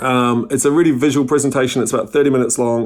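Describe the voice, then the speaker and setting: A man speaks with a New Zealand accent at a very fast pace. His intonation stays fairly even. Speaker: company CEO. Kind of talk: conference presentation.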